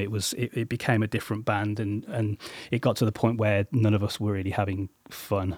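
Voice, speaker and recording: Speaking with a West Midlands accent at a moderate pace and medium pitch, a man sounds dry and close with no echo, in a very clean recording with a silent background. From English Midlands (Coventry). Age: 40s. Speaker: musician. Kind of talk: interview. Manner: halting, many fillers.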